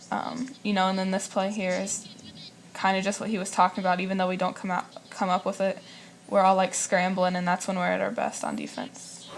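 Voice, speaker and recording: A soft-spoken woman at a medium pitch, monotone and flat, at a fairly quick pace with noticeable background noise. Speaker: college basketball player. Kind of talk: interview.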